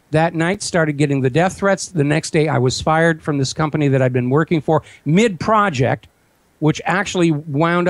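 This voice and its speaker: A man's normal speaking voice, fairly high and fairly quick, with ordinary pitch variation and a dry, close sound with no echo. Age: 60s. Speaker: talk radio host and website owner, former visual effects producer. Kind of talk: interview.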